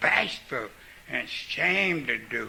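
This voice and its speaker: A man speaking at a very slow pace against noticeable background noise. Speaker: recovering alcoholic speaker. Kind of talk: recovery talk. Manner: halting.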